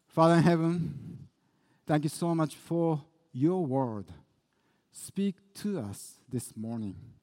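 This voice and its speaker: At a very slow pace, a man with a dark, mellow tone and a fairly high pitch moves through very wide pitch swings. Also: long, frequent pauses, big swings in loudness. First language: Japanese. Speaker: pastor. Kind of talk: sermon. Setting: church.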